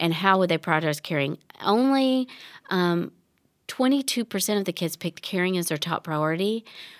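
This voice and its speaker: Recorded very cleanly with a silent background and a dry, close sound with no echo, a woman speaks at a medium pitch with a Southern US accent. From Tennessee. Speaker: children's ministry director. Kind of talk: casual chat.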